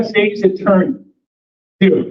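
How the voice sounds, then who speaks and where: A man with a high voice speaks at a very slow pace. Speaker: attorney. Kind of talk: speech at community meeting. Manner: loud, projecting; animated.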